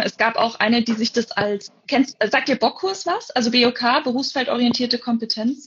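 At a moderate pace, a woman talks. Her pitch is high. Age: 20s. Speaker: forestry student and camp volunteer. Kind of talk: casual interview. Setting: Instagram live video call.

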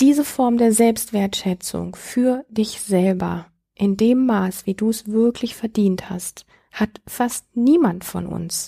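A woman's fairly high, somewhat breathy voice, dark and mellow in tone, at a very slow pace with ordinary pitch variation, in a dry, close sound with no echo. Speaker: podcast host, self-worth coach. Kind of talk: advice monologue. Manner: smiling, warm.

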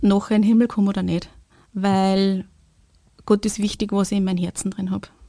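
The woman's voice has a medium pitch and a dark, mellow tone. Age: 40s. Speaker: kindergarten language support worker. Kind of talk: testimony.

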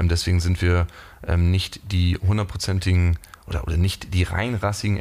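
A man speaks with a very deep, low pitch and fairly even intonation. His pace is moderate. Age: 20s. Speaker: startup CEO in logistics. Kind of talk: interview. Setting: office. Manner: hesitant with many fillers.

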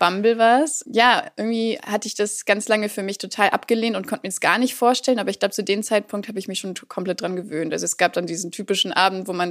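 A woman's medium-pitched voice at a very fast pace, ordinary pitch variation and hardly any pauses. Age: 20s. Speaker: political education worker and social work student. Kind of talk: casual interview, telling a dating story.

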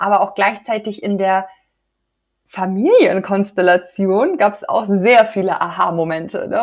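This is a woman with an unremarkable speaking voice, set at a medium pitch. She talks at a moderate pace with ordinary pitch variation. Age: 30s. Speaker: women's health coach. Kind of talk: interview.

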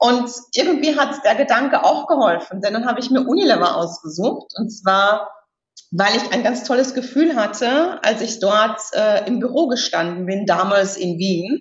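A woman's fairly high voice, a plain, everyday voice, with lively intonation at a moderate pace. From Austria, Styria. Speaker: executive search consultant. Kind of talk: interview.

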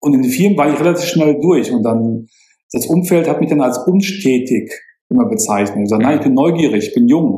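Here a man talks at a fairly quick pace. His pitch swings very widely. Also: fairly high pitch for a man, very even loudness. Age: 50s. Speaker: financial planner and property investor. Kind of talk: interview. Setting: video call.

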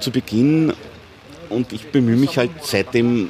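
Noticeable background noise is present. A man speaks at medium pitch with ordinary pitch variation. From Austria, Upper Austria (born Leoben, Styria). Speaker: journalist and author. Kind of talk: casual conversation interview. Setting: outdoors at a corner pub.

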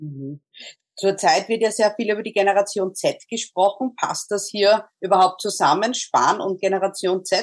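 A woman with a normal speaking voice uses ordinary pitch variation, speaking at a moderate pace and at a medium pitch. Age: 40s. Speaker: podcast host. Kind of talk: interview.

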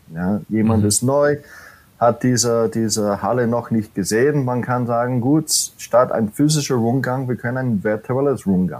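Speaking fairly slowly with an American accent, a man holds a medium pitch with ordinary variation. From US, New York City. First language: English (speaking German). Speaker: corporate training manager. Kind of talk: podcast interview. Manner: halting, many fillers.

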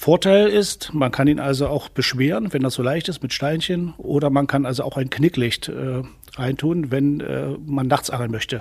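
There is noticeable background noise behind this man. His voice sits fairly high and shows ordinary pitch variation. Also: moderate pace. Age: 60s. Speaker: youth angling instructor. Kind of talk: tutorial.

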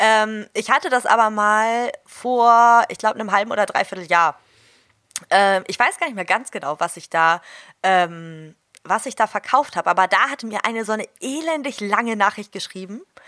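A woman with a fairly high pitch and a bright, sharp tone speaks at a moderate pace with lively intonation and big swings in loudness. The recording is very clean, with a silent background and a dry, close sound with no echo. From northern Germany, Hamburg. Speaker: dog trainer. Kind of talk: interview.

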